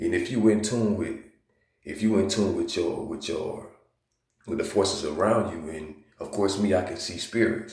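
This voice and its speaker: With a Southern accent, a man speaks in a fairly low, somewhat breathy voice. Audible room echo surrounds him. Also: fairly even intonation, moderate pace, big swings in loudness. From US South, Georgia. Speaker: video blogger. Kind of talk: casual monologue. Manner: casual, filler-heavy.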